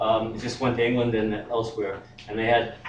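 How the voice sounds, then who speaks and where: A medium-pitched man's voice over noticeable background noise. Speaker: poet. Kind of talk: casual spoken introduction.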